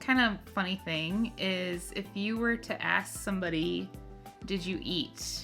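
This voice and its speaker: Music plays in the background as a woman with an American accent speaks at a very slow pace. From Minnesota. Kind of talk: casual conversation.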